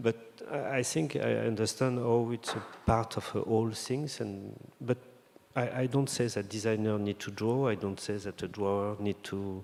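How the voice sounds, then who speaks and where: A man with a medium-pitched voice, fairly even intonation, and a French accent. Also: moderate pace. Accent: French accent, non-native English. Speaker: designer. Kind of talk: interview conversation. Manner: halting, many fillers and restarts.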